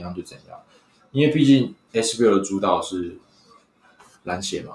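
A man with a Taiwanese accent, fairly low in pitch, at a moderate pace with ordinary pitch variation. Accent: Taiwanese Mandarin. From Taiwan, Hsinchu. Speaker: sports fan, former sports columnist. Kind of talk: casual chat.

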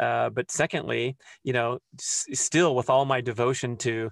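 Vocal fry runs through a man's voice, heard in a dry, close sound with no echo. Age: 50s. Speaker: author and podcaster. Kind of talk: casual interview. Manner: animated.

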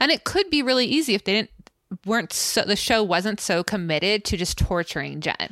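A woman speaks at a medium pitch and a fairly quick pace, her bright, sharp tone holding very even loudness and lively intonation in a dry, close sound with no echo. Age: 30s. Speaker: podcast co-host. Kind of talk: casual chat. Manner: animated.

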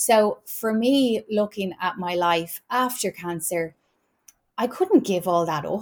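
In an Irish accent, a woman speaks at a fairly slow pace with lively intonation and a medium pitch. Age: 30s. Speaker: wellness podcast host. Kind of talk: casual chat.

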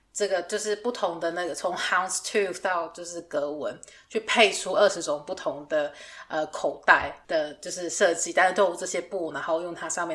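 Her fairly low pitch and fairly even intonation mark this woman's unremarkable speaking voice, delivered at a moderate pace. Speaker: podcast host, fashion designer. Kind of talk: casual chat.

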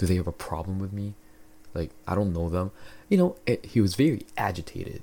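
A man's very deep, low voice with a dark, mellow tone. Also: ordinary pitch variation, fairly quick pace. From Philippines. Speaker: podcast host. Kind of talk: casual solo monologue. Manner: casual, filler-heavy.

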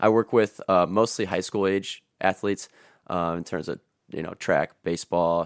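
With an American accent, a man speaks in a very deep, low voice with fairly even intonation, the sound dry and close with no echo. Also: moderate pace, very clean recording, silent background. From northwest Ohio, US. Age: 20s. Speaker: personal trainer and football coach. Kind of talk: casual chat.

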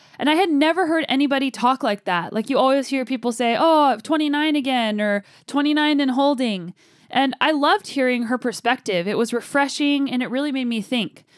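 A woman's high voice at a fairly quick pace, upbeat in tone with ordinary pitch variation, on a very clean recording with a silent background. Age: 30s. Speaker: podcast host. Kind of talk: solo motivational monologue.

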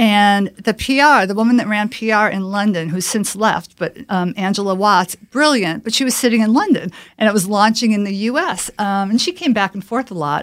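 Speaking in a plain, everyday voice, a woman with an American accent talks at a moderate pace with hardly any pauses, a medium pitch and ordinary pitch variation. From Chicago. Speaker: corporate communications executive. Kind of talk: interview.

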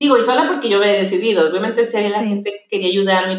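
Her voice rests at a medium pitch, and its variation is ordinary. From Mexico. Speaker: lay missionary. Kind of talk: testimony.

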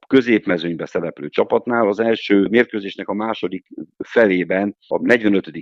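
A plain, everyday voice at a moderate pace with ordinary pitch variation. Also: man. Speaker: handball federation sports director. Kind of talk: radio interview.

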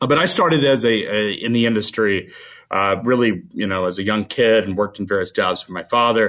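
With an American accent and an ordinary speaking voice, a man talks at a fairly quick pace, his medium pitch showing ordinary variation. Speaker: CEO of a freight media company; media executive. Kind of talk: casual interview.

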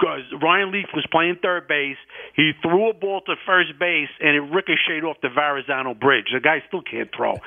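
With an American accent, a man talks at a moderate pace in an unremarkable speaking voice, fairly high in pitch with ordinary pitch variation. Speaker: caller. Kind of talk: casual chat. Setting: phone call.

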